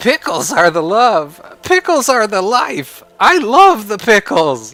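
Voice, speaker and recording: A put-on character voice, fairly high in pitch and fairly slow in pace. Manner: silly, exaggerated.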